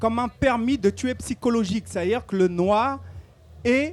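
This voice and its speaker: Speech moves at a fairly slow pace. The recording is very clean, with a silent background. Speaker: activist speaker. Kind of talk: public talk. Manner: hesitant with repetitions.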